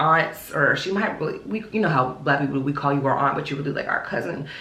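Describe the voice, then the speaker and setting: A woman with an American accent, audible room echo, and noticeable background noise. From US South, Charlotte, North Carolina. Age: 30s. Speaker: lifestyle vlogger. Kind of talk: casual Q&A vlog. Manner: casual, chatty.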